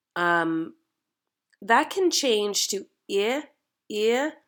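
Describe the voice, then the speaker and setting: A woman with a Canadian accent speaks at a fairly high pitch. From Canada. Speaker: dialect coach. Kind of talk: tutorial.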